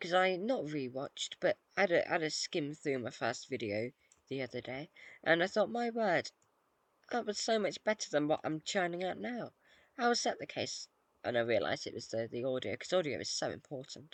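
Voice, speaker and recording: Against a quiet background, a speaker with a British accent mumbles at a moderate pace. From Britain. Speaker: gaming YouTuber. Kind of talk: casual gameplay commentary. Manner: mumbling; hesitant, many fillers.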